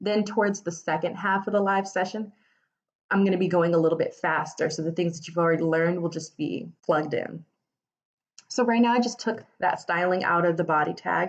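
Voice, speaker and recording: A woman speaks at a fairly quick clip in an unremarkable speaking voice, her fairly low pitch moving with ordinary variation. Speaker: web development tutor. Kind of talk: live coding tutorial. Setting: Instagram Live stream. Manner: casual, many fillers. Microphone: phone near.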